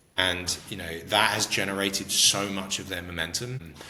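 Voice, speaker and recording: Over noticeable background noise, a man speaks with an American accent and ordinary pitch variation. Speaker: tech startup co-founder. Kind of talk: interview.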